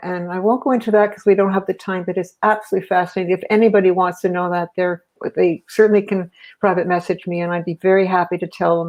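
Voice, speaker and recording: Racing at a very fast pace, a woman speaks at medium pitch with monotone, flat intonation. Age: 70s. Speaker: guest sharing personal experience. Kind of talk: personal storytelling in interview. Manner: halting, many fillers.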